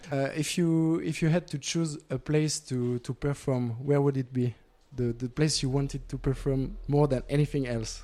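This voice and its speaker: Dark, mellow tone in a man's fairly high-pitched voice. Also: fairly even intonation, moderate pace. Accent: French. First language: French. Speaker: student radio interviewer. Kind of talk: interview. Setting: music festival.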